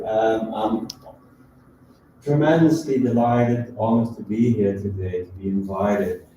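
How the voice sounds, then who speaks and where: Amid audible room echo, a man speaks at a moderate pace with a medium pitch, ordinary pitch variation, big swings in loudness, and long, frequent pauses. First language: not English. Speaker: professor. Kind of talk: lecture. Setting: lecture hall with audience, also streamed. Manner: halting.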